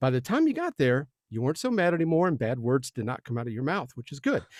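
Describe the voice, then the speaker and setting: A man speaks with an American accent and very wide pitch swings. The sound is dry and close, with no echo. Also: very clean recording, silent background. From Southern United States. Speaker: podcast host; voice actor. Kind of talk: casual podcast conversation.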